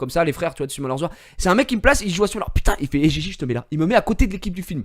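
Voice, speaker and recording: A man's animated tone with very wide pitch swings. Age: 20s. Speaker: gaming streamer. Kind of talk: casual chat. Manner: halting.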